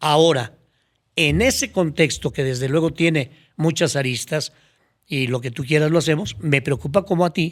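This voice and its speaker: A man with a Mexican accent and a fairly high pitch, ordinary pitch variation, a moderate pace, and a very clean recording with a silent background. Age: 70s. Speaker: former public official. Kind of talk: podcast interview.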